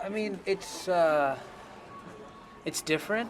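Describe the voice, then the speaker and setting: A man with music in the background. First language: Tamil. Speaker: band singer and producer. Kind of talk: interview. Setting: at an anime convention.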